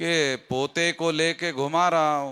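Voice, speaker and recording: A man's voice, high in pitch. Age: 60s. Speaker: political activist leader. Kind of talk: public rally speech.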